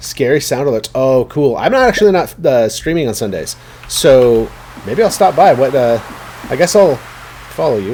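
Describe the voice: A text read plainly out loud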